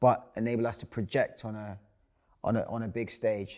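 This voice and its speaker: The recording is very clean, with a silent background. A man speaks at medium pitch in a London accent. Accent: London, Multicultural London English. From London (Hackney). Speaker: actor. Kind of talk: interview.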